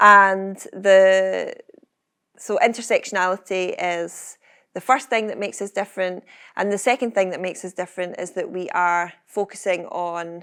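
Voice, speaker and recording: A woman speaks with a bright, sharp tone at a medium pitch and moderate pace. Her intonation stays fairly even while her loudness swings widely, on a very clean recording with a silent background. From Scotland, Kirkcaldy area. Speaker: entrepreneur, founder of a confidence organisation. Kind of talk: fireside chat before live audience. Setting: stage with audience.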